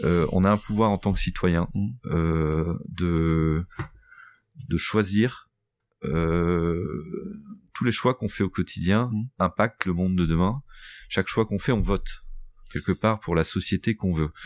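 In a very clean recording with a silent background and a dry, close sound with no echo, a man with a very deep, low pitch speaks at a very slow pace with long, frequent pauses and ordinary pitch variation. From northern France, Boulogne-sur-Mer area. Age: 40s. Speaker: entrepreneur, company founder. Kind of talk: podcast interview.

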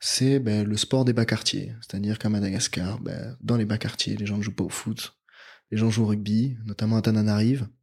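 Speaking in a flat monotone at a fairly low pitch, a man comes through in a very clean recording with a silent background. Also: moderate pace. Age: 20s. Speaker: NGO deputy director. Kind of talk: interview. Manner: hesitant, many fillers.

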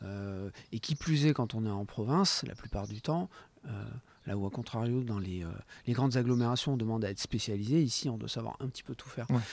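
The speaker has an unremarkable speaking voice with ordinary pitch variation. The pace is fairly quick. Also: man, medium pitch for a man. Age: 50s. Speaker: motion designer and image artisan. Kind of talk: interview.

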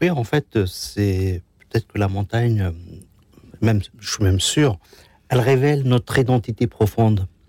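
Dry and close with no echo, a man's somewhat breathy, dark, mellow voice sits at medium pitch and breaks into long, frequent pauses. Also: ordinary pitch variation, fairly slow pace. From Algeria, Kabylie. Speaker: association ambassador, former youth in distress. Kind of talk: testimony. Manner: halting.

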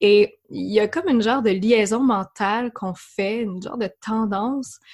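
With a Quebec accent, a woman talks at a fairly slow pace in a fairly high, somewhat breathy voice. The sound is dry and close, with no echo. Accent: Québécois. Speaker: yoga teacher. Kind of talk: interview conversation.

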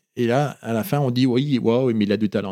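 A man at medium pitch with ordinary pitch variation speaks at a moderate pace, recorded very cleanly against a silent background with a dry, close sound and no echo. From France, Oyonnax (Ain), born in Morocco. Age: 50s. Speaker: photographer. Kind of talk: interview. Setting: studio. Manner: halting.

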